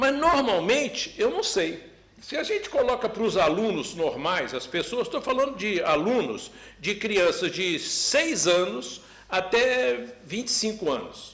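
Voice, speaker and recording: A man with a Brazilian accent, high in pitch with very wide pitch swings, at a fairly slow pace amid audible room echo. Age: 70s. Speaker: professor. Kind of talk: parliamentary hearing testimony. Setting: closed-door parliamentary hearing.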